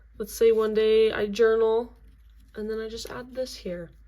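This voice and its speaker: A woman speaks at a moderate pace in a fairly high pitch. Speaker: crafting video creator. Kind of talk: tutorial. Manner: monotone.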